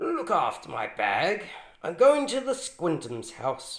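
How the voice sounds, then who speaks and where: A man puts on a character voice with an extremely high pitch, speaking at a fairly slow pace. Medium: read story. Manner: overly polite, smooth.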